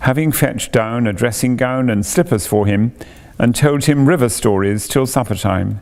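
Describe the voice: The speaker uses plain reading aloud with ordinary pitch variation.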